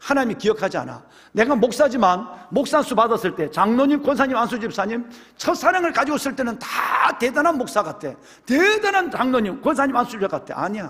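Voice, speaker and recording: A man speaks at an extremely high pitch with lively intonation and an animated tone, at a fairly quick pace. Noticeable background noise runs under the recording. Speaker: pastor. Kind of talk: sermon. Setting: church.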